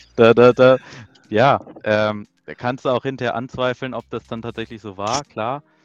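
A man with a plain, everyday voice speaks at a moderate pace and medium pitch, his intonation fairly even but his loudness swinging widely, in a dry, close sound with no echo. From near Braunschweig, Lower Saxony, Germany. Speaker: FPV drone racing pilot. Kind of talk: casual chat.

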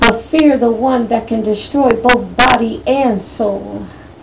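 Over noticeable background noise, a woman speaks very slowly at a fairly high pitch with fairly even intonation. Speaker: prayer participant. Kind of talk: fervent group prayer. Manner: fervent, worshipful.

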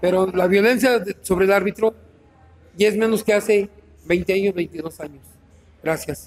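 A man's high-pitched voice with fairly even intonation, a fairly slow pace and long, frequent pauses. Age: 60s. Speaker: veteran football referee. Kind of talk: panel discussion.

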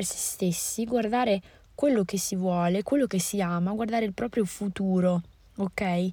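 A woman speaks at a moderate pace in a dark, mellow tone. Her voice is somewhat breathy. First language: Moroccan Arabic (Darija) (speaking Italian). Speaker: podcaster. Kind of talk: casual monologue. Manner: hesitant, many fillers.

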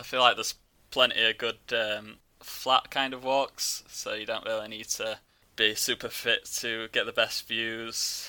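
A man's medium-pitched voice with a Yorkshire accent, bright and sharp in tone, fairly slow, with monotone, flat intonation. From West Yorkshire. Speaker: travel blogger. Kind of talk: casual chat.

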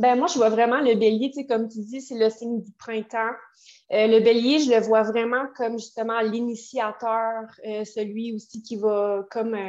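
A woman speaks at a fairly slow pace with a fairly high pitch, monotone, flat intonation and big swings in loudness. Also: quiet background. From Quebec City, Quebec. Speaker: tarot reader and astrologer. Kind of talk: casual interview chat. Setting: video call.

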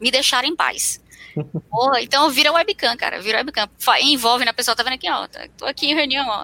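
This woman's voice is high-pitched, bright and sharp in tone. Her intonation is lively and her voice is raised and projected. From Fortaleza, northeastern Brazil. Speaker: software engineer. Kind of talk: casual chat. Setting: live video stream.

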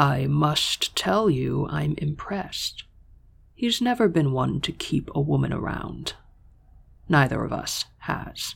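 A man uses a husky put-on character voice at a fairly slow pace. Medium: read story. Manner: smug, suggestive.

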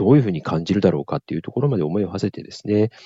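Lively in intonation, a man speaks with a fairly low pitch. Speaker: cancer survivor and nonprofit founder. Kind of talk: interview. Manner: polite, with frequent fillers.

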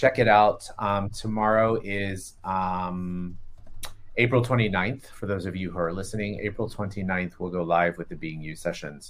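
A man with an American accent and an unremarkable speaking voice speaks at a moderate pace and a fairly low pitch. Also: ordinary pitch variation. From Florida. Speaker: podcast co-host, healer and facilitator. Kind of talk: casual chat. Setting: video call.

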